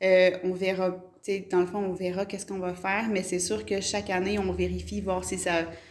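Against noticeable background noise and audible room echo, a woman speaks at a medium pitch and a moderate pace with fairly even intonation. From Quebec, Gatineau. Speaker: mayor. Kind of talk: interview. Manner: hesitant, many fillers.

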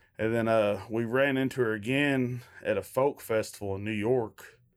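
The speaker has a Kentucky accent and fairly even intonation. The recording is very clean, with a silent background. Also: man. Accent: Kentucky Southern US. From Kentucky, Shepherdsville near Louisville. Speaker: bluegrass band member. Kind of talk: interview.

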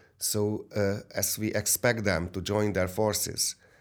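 In a very clean recording with a silent background, a man with a Hungarian accent speaks at a fairly low pitch. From Hungary. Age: 60s. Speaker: businessman. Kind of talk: interview. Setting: studio. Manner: halting.

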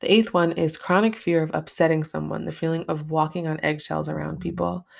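The recording is very clean, with a silent background. The speaker talks at a fairly quick pace with an American accent. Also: woman. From upstate New York. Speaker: podcast host. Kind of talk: solo podcast monologue. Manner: casual, filler-heavy; occasionally stumbling.

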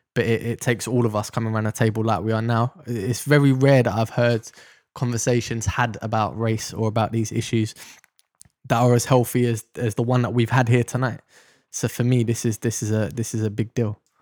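With a South London accent, a man talks at a fairly quick pace in a medium pitch and a monotone, flat intonation, the sound dry and close with no echo. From South London, Deptford. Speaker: ex-police officer. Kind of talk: interview testimony.

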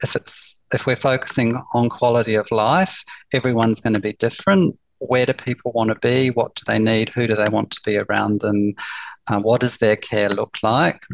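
Medium in pitch, a man speaks at a moderate pace with ordinary pitch variation in a dry, close recording with no echo. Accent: New Zealand. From New Zealand. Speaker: palliative care nurse. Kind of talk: interview.

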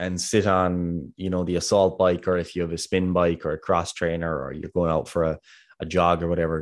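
A man with a Kerry accent and a very deep, low pitch, talking at a fairly quick pace against a quiet background. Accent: Kerry Irish. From Ireland, Kerry. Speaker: podcast co-host, fitness coach. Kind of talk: casual podcast discussion. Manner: fast talker.

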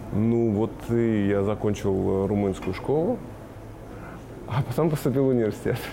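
A man at a medium pitch, moderate pace and very even loudness, with ordinary pitch variation and long, frequent pauses. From Kazakhstan (Shymkent), then Moldova from age ~10. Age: 30s. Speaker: marketing director. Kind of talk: interview.

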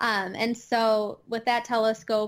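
A woman speaks with a Midwestern accent. Her pitch sits fairly high. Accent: Midwestern twang, noticeable. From US Midwest, Chicago suburbs, Illinois. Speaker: astronomer and educator. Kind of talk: casual interview chat. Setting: remote podcast recording with microphone.

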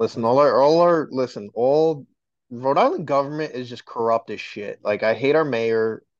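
The man has an unremarkable speaking voice and an American accent. He talks at a moderate pace with ordinary pitch variation over a quiet background. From New York, Dominican heritage. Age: 20s. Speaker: podcaster. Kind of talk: casual chat.

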